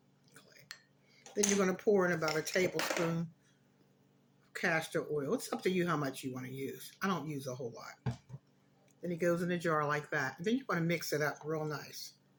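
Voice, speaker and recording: Noticeable background noise runs under the speech. The speaker leaves long, frequent pauses. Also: moderate pace. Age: 60s. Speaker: skincare tutorial presenter. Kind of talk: tutorial. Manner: casual, impromptu.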